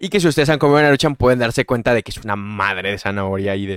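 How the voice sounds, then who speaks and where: A man with a Mexican accent speaks at a very fast pace, his medium pitch varying in an ordinary way. The sound is dry and close with no echo, on a very clean recording with a silent background. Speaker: podcast host. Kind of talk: casual chat.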